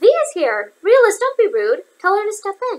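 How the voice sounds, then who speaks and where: Putting on a character voice, a woman speaks at a moderate pace in an extremely high, squeaky pitch. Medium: read story. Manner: cryptic, wry, unhurried.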